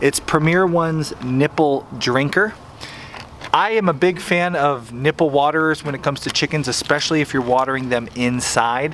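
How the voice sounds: Against faint background noise, a man talks with a fairly bright tone and ordinary pitch variation.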